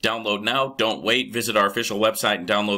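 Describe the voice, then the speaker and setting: Over a quiet background, a man talks with a fairly low pitch and a bright, sharp tone. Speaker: channel host. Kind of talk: casual vlog commentary.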